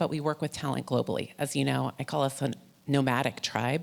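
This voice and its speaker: A woman talks at a very fast pace with vocal fry. She has an American accent. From United States. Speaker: animation recruiter, panelist. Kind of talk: panel discussion.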